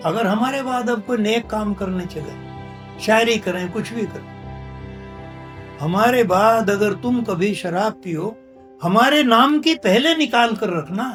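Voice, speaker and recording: With music playing in the background, a man speaks in a high pitch, his pitch varying in an ordinary way. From India. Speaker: poet. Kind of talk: interview answer.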